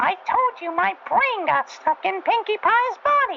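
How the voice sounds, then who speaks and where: A put-on character voice, female-sounding and extremely high in pitch, at a moderate pace over clear background noise. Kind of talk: dramatic story reading. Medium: read story. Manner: excitable, panicky.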